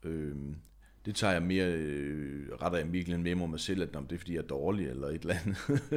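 Ordinary pitch variation runs through speech delivered at a moderate pace. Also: man. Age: 40s. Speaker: singer-songwriter. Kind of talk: casual chat.

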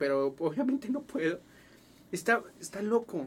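A man talks with very wide swings in pitch. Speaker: podcast host. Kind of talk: casual interview.

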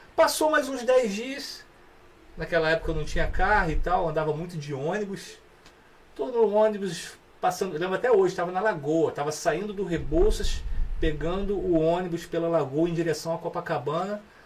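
Noticeable background noise accompanies a man's high-pitched voice. His intonation is lively. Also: moderate pace. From Petrópolis, Rio de Janeiro state, Brazil. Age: 40s. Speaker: musician. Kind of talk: casual chat.

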